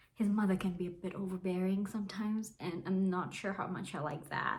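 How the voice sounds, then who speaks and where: This woman speaks at a medium pitch and a moderate pace. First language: Bengali. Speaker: book vlogger. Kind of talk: casual book review vlog. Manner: casual, with fillers and false starts.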